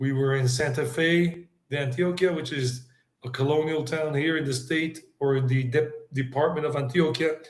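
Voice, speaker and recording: This man has an American accent and a fairly high pitch. His intonation is monotone and flat, and audible room echo surrounds it. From South Carolina and New York, US. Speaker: travel vlogger and English teacher. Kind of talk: casual interview chat.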